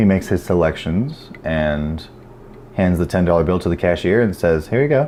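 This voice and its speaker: A man with an American accent speaks at a moderate pace with ordinary pitch variation amid noticeable background noise. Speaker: self-help vlogger. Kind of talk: casual monologue. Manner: stuttering, repeats words.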